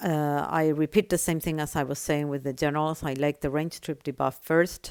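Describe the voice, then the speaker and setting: A woman with a non-native accent and a very deep, low pitch speaks at a moderate pace in a monotone, flat intonation, on a very clean recording with a silent background. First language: not English. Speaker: gaming tutorial creator. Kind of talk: tutorial.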